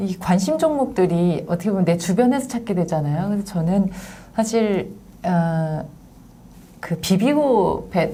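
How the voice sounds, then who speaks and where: This normal speaking voice moves at a fairly slow pace with lively intonation. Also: woman, medium pitch for a woman. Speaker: announcer. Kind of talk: interview host.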